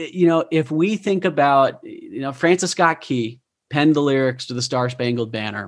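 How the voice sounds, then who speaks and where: Using an ordinary speaking voice, a man talks at a moderate pace with fairly high pitch and ordinary pitch variation. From Utah. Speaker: podcast host and professional speaker. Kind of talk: interview.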